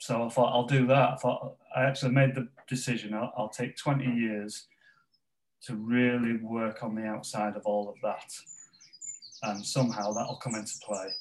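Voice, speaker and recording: With a Yorkshire accent, a man speaks at medium pitch and a moderate pace, his intonation fairly even. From northern England, West Yorkshire (Pontefract). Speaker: football organization ambassador. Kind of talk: interview. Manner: halting.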